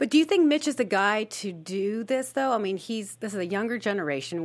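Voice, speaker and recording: A woman talks fairly quickly with lively intonation in an ordinary speaking voice. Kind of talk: casual panel chat. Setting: studio.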